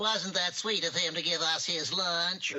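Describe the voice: This cartoonish character voice sits at a middle pitch. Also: moderate pace.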